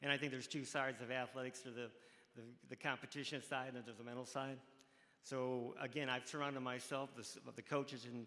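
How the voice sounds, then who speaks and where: The voice has a US Midwestern accent and a bright, sharp tone. It moves at a very fast pace with monotone, flat intonation. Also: man. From Ohio, Cleveland. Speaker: college track coach, hall of fame inductee. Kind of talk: interview on stage. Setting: stage with audience. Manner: halting.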